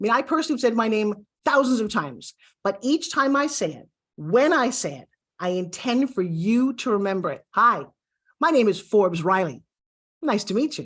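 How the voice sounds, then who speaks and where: A woman with a Brooklyn accent speaks at a moderate pace in a fairly high voice, her tone animated, her pitch swinging very widely and her loudness rising and falling sharply against a quiet background. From USA, Brooklyn. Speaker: TV host and pitch coach. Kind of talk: online course lesson.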